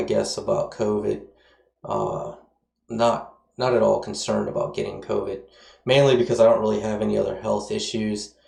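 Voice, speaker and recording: A man talks at an average speed, his voice ringing with noticeable room reverb. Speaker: coding tutorial instructor. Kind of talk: casual chat; tutorial. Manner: casual, filler-heavy.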